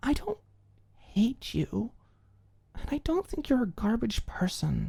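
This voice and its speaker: In a put-on character voice, a woman sounds raspy and calm, her pitch fairly high. She moves at a fairly slow pace. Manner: calm, comforting.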